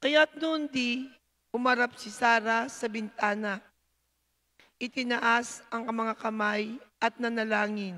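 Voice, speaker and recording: A woman speaks very slowly at a fairly high pitch with a bright, sharp tone. Her intonation stays fairly even, and the background is quiet. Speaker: lector reading scripture. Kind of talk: reading aloud scripture. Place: church. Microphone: handheld.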